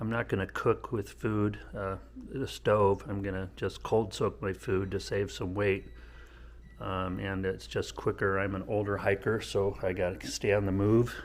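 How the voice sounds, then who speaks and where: A man speaks at a fairly slow pace in a fairly low pitch, with vocal fry. Pitch variation is ordinary, and the recording is very clean with a silent background. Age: 60s. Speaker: vlogger, long-distance hiker. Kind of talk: casual vlog. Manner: halting, many fillers.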